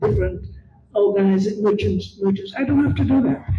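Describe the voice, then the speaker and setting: Against background music and audible room echo, a woman is talking. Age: 80s+. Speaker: senior panel participant. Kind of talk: panel discussion comment.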